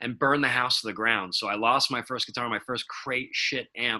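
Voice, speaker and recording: A man with a Rhode Island accent speaks at a very fast pace in a bright, sharp tone. His pitch is medium and his intonation monotone and flat. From Providence, Rhode Island. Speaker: rock musician. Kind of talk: podcast interview answer.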